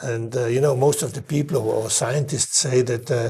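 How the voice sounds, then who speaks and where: A man's dark, mellow, somewhat breathy voice at a fairly quick pace. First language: German. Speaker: chef. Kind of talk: interview conversation. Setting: in person. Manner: halting, frequent repetitions and fillers.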